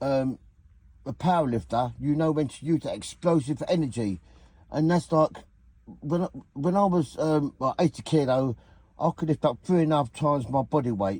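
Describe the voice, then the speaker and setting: A somewhat breathy voice with a dark, mellow tone speaks in a southeast English accent, with long, frequent pauses. The recording is very clean, with a silent background. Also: man, fairly high pitch for a man, ordinary pitch variation, moderate pace. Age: 60s. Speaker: vlogger, former weightlifter. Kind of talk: casual reminiscing monologue. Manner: halting, repetitive.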